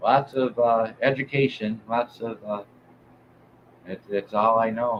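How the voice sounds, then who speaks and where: A man at medium pitch with a Detroit accent, monotone and flat, at a fairly slow pace with long, frequent pauses. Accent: Midwestern US (Detroit area). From Southeast Michigan. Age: 50s. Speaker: music show host. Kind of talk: live stream chat. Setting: live stream. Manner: halting, many fillers.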